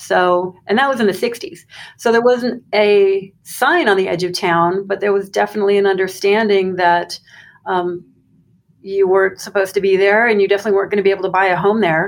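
A woman with an American accent and a normal speaking voice talks at a fairly quick pace in a medium pitch, with fairly even intonation and very even loudness. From Arizona, US (Phoenix). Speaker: graduate student and university employee. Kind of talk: interview.

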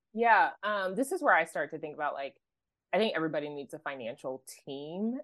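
A woman with an American accent speaks at a fairly quick pace with lively intonation and an unremarkable speaking voice. The background is quiet. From US, Oklahoma. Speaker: financial coach. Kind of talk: podcast interview.

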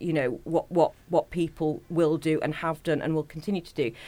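A woman with a fairly low pitch and a dark, mellow tone speaks at a moderate pace with hardly any pauses, her loudness swinging widely. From Stoke-on-Trent, Staffordshire, England. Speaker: community organisation worker. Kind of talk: interview.

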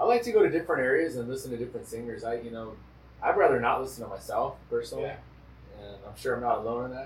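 With noticeable background noise behind him, a man talks at a very fast pace, his loudness swinging widely. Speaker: podcast host; traditional singer. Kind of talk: casual chat.

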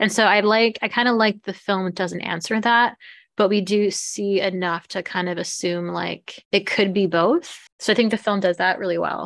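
Using a normal speaking voice, a woman talks at a moderate pace and a medium pitch with fairly even intonation. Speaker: podcast co-host. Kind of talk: casual chat.

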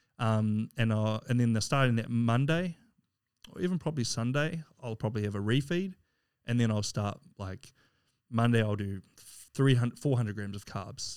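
A man with a New Zealand accent speaks at a moderate pace and medium pitch, with ordinary pitch variation and long, frequent pauses. The recording is very clean, with a silent background. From New Zealand, Wellington. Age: 30s. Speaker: physique athlete and recruiter. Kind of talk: casual chat.

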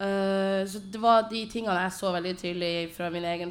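Audible room echo surrounds this woman's voice. She has a medium pitch and a fairly slow pace. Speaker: poet and playwright. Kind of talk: panel presentation. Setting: stage with audience in a tent.

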